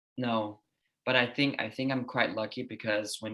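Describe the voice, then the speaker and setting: A man with a Danish accent, bright, sharp tone and monotone, flat intonation. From Denmark. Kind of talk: casual interview chat. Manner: calm, even.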